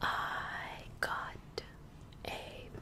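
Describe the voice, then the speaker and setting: Someone whispers over noticeable background noise. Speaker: ASMR creator and gamer/streamer. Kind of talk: soft-spoken ASMR rant to camera. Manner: soft-spoken, whispered.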